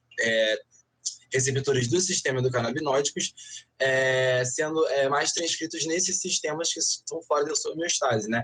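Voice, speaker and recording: Fairly high-pitched male speech with ordinary pitch variation. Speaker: veterinarian. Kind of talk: online panel talk with slide presentation. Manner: fast; many fillers and self-corrections.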